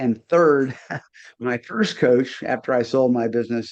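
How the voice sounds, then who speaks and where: This man has an unremarkable speaking voice at a medium pitch. He talks at a fairly slow pace with ordinary pitch variation. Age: 60s. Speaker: business coach. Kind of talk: casual chat.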